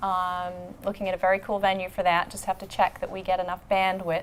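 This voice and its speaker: Woman with an Australian accent, medium pitch and moderate pace. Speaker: marketing executive, show co-host. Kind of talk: casual chat.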